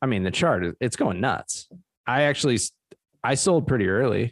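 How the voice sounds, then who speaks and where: A man's vocal fry at a moderate pace, in a dry, close sound with no echo. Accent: American. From New Jersey, Trenton. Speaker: podcast co-host. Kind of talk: casual chat.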